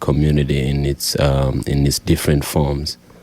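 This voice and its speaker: Noticeable background noise sits under this man's voice. His pitch is very deep and low, and his pace is moderate. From Rwanda. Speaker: singer-songwriter. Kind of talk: radio interview.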